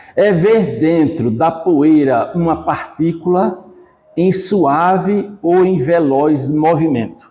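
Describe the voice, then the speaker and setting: At a very slow pace, a man talks in a high voice with ordinary pitch variation. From Igaci, Alagoas, Brazil. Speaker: poet, retired bank clerk. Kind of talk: poetry reading.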